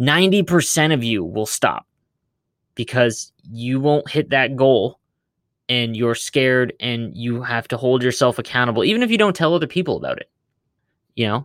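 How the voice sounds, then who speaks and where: Here a man talks at a moderate pace in a medium pitch. His tone is energetic and his intonation lively. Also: very clean recording, silent background. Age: 20s. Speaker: gaming content creator and podcaster. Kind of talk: solo podcast monologue.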